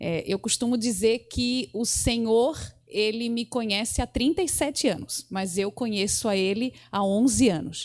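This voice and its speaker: The pace is fairly slow, with ordinary pitch variation. It is a plain, everyday voice. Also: woman, fairly high pitch for a woman. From southern Brazil, Santa Catarina coast. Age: 30s. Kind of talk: interview at religious seminar.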